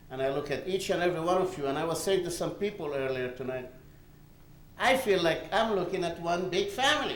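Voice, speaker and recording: Lively intonation and a fairly quick pace come through noticeable background noise and audible room echo. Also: man, high pitch for a man. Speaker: award recipient giving acceptance speech. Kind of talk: acceptance speech. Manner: animated.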